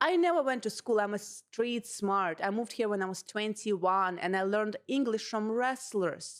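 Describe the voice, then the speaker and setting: On a very clean recording with a silent background, a woman with a Russian accent and a fairly high pitch speaks at a moderate pace, with ordinary pitch variation and hardly any pauses. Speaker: comedian. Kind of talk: casual chat. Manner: animated.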